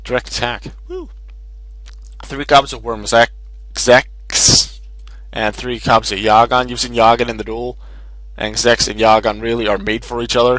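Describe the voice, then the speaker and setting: Long, frequent pauses break up a man's speech, delivered at a moderate pace. His loudness swings widely over noticeable background noise. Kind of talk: gaming commentary, deck profile. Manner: loud at points.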